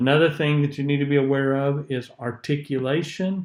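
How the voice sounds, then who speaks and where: A man's fairly high, fairly even voice with a Southern US accent, on a very clean recording with a silent background. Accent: southern US drawl. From US South. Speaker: public speaking teacher. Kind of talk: lecture. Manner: sometimes slurs syllables, not crisp.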